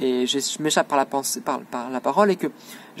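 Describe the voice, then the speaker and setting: A man is talking. Noticeable background noise runs behind him. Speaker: student making a self-filmed video diary. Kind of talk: self-recorded monologue. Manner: fast; hesitant, many fillers.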